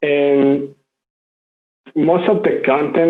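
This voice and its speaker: A fairly high-pitched man's voice with audible room echo. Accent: Spanish. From Mexico. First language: Spanish. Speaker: open-source community contributor. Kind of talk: conference talk.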